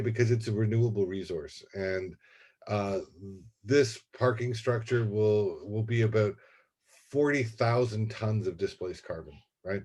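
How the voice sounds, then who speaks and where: A man speaks at a medium pitch with a somewhat breathy voice and fairly even intonation. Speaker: university administrator. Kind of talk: presentation. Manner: fast.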